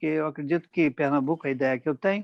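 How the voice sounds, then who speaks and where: An unremarkable speaking voice from a man, fairly high in pitch, with ordinary pitch variation and a dry, close sound with no echo. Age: 60s. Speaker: interviewer for a magistrates' institute. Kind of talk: formal interview. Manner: formal.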